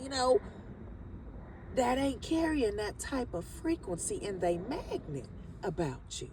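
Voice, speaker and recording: Noticeable background noise runs under speech delivered at a fairly slow pace. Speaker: spiritual vlogger. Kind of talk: casual spiritual monologue. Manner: animated.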